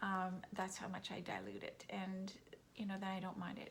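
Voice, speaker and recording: A woman at a medium pitch, with audible room echo. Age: 60s. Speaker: vlogger. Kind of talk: casual monologue. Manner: hesitant, many fillers.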